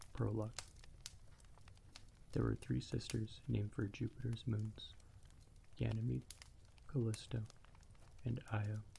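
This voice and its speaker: A soft-spoken man at a fairly slow pace, with long, frequent pauses. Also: very even loudness. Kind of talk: ASMR audiobook reading. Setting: crackling fire in the background. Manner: quiet, soft.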